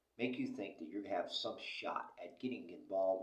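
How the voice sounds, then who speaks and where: A man speaks with an American accent. There is audible echo in the room. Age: 60s. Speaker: vlogger. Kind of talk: casual monologue. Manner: animated.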